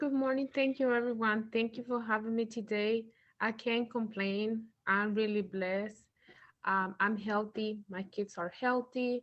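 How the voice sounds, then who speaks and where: Speaking with a Spanish accent, a woman uses a fairly high pitch and fairly even intonation at a fairly slow pace. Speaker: parent. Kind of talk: workshop introduction.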